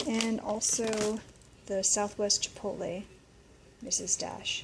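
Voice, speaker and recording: A woman speaks at a fairly slow pace with a fairly high pitch. Noticeable background noise can be heard. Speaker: vlogger sharing daily diet. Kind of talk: casual vlog narration. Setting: library. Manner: casual, conversational; quiet.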